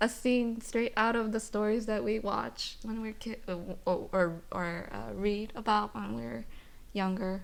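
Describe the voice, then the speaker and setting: This woman is soft-spoken, with a fairly high pitch. Her pace is fairly slow. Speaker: aspiring screenwriter. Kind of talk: podcast guest conversation.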